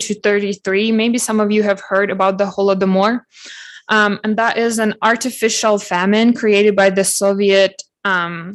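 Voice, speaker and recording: The speech runs at a fairly slow pace with monotone, flat intonation. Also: woman. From Ukraine. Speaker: cultural event speaker. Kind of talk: presentation.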